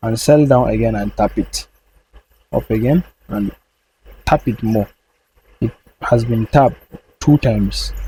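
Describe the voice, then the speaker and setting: A man's somewhat breathy voice, dark and mellow in tone, at a fairly slow pace with a non-native accent, in a dry, close sound with no echo. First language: not English. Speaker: trading educator. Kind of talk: tutorial. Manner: halting.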